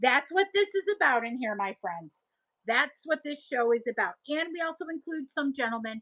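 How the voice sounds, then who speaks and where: A raised, projected voice with a bright, sharp tone comes through in a Buffalo accent, dry and close with no echo. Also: woman. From Buffalo, New York area. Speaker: live-stream seller. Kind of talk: casual chat. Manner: animated.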